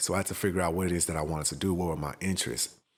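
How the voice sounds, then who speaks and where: Music plays behind a man with a very deep, low voice. He speaks with an American accent and fairly even intonation. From Houston, Texas. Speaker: podcast founder, Navy veteran. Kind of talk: personal story monologue. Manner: casual.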